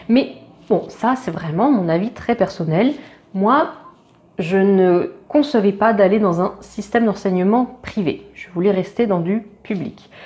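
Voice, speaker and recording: Over noticeable background noise, a woman with a medium pitch speaks very slowly, her intonation lively. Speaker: veterinary student, YouTuber. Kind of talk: casual vlog talk to camera. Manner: hesitant, many fillers.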